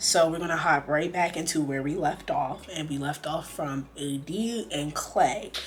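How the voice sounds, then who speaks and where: Over noticeable background noise, a woman with a very deep, low pitch speaks in an animated tone at a fairly slow pace with hardly any pauses. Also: ordinary pitch variation. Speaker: reality TV commentator. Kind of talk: casual talk to camera. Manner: chatty, animated.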